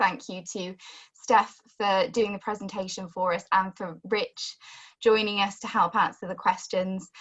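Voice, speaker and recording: Somewhat breathy, a woman's medium-pitched voice moves at a fairly slow pace. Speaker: webinar host. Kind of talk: webinar closing remarks. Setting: online webinar.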